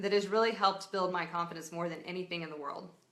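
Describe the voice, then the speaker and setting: The woman's tone is bright and sharp, and the room echo is audible. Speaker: entrepreneur giving advice. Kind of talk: casual live video talk. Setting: live stream. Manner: loud.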